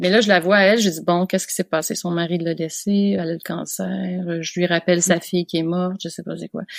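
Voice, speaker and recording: A woman speaks fairly quickly with a Quebec accent and hardly any pauses. Her voice is fairly low, her intonation monotone and flat. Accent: Québécois French. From Quebec, Canada. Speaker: veterinarian. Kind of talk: podcast interview answer.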